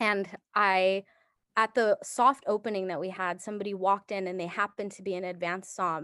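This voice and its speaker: A woman with an unremarkable speaking voice at a fairly quick pace, fairly even intonation and big swings in loudness, in a dry, close, echo-free, very clean recording over a silent background. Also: medium pitch for a woman. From Japan, moved to the United States in first grade. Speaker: sommelier and wine educator. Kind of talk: casual interview chat.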